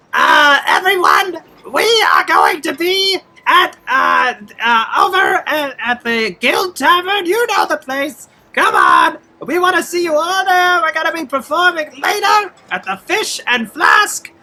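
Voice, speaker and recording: A put-on character voice with an extremely high pitch delivers its lines at a fairly slow pace. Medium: actual play. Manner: eager, chatty.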